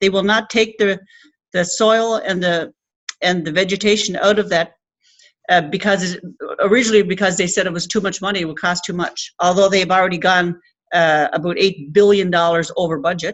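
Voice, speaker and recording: A woman with a Labrador accent, medium-pitched and fairly even in intonation, at a fairly quick pace. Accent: Labrador Canadian English. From coastal Labrador, Canada. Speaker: Inuit land protector and activist. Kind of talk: speech to an audience.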